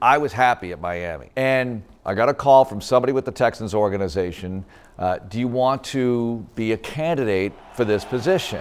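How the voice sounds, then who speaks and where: A man speaks in a normal speaking voice. His pace is fairly quick and his intonation lively. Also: medium pitch for a man. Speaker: play-by-play announcer, the voice of the Houston Texans. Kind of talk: interview answer, personal story.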